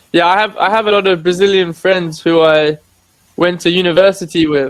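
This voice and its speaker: With an English accent, a man speaks in a high pitch and fairly even intonation. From England. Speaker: online English tutor. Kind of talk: casual chat.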